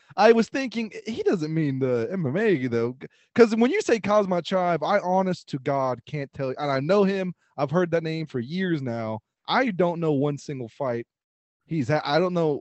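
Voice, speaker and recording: A man talks at a moderate pace in a fairly high voice. His intonation is lively. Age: 30s. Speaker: podcast co-host. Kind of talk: casual chat. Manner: hesitant, many fillers.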